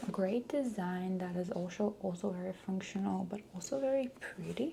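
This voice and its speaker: A woman speaks at a medium pitch with ordinary pitch variation. Noticeable background noise runs under her voice. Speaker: ASMR artist. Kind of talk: ASMR roleplay personal stylist session. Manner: soft-spoken, slow.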